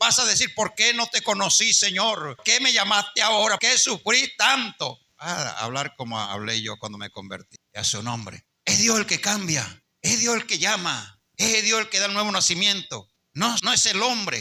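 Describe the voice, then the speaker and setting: A man at a fairly slow pace with hardly any pauses. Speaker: pastor. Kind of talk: sermon.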